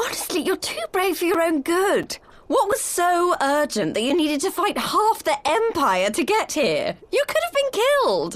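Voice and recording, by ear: A woman's put-on character voice, extremely high with big pitch swings, at a fairly slow pace with few pauses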